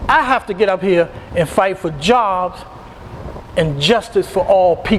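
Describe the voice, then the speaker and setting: The speaker talks at a fairly slow pace with an American accent and ordinary pitch variation. Long, frequent pauses and noticeable background noise run through the clip. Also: man, high pitch for a man. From Virginia. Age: 60s. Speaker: political candidate. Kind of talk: interview. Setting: studio.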